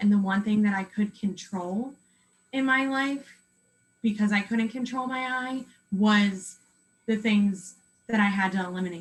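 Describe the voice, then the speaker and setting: A woman's somewhat breathy, medium-pitched voice with an American accent, ordinary pitch variation, a fairly slow pace and long, frequent pauses. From Pennsylvania, USA. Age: 20s. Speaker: cancer patient. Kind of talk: interview answer. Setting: video call.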